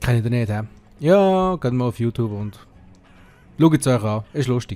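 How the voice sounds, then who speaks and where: A man with a Swiss German accent speaks at a moderate pace and medium pitch. His tone is dark and mellow, with lively intonation. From Switzerland. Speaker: let's play gamer. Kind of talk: casual gameplay commentary.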